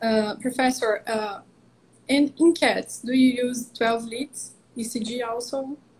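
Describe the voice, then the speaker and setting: A woman with a Portuguese accent, high-pitched and very slow, her intonation fairly even, over light background noise. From Brazil. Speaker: veterinary cardiologist. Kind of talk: interview. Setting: video call. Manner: halting. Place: home room.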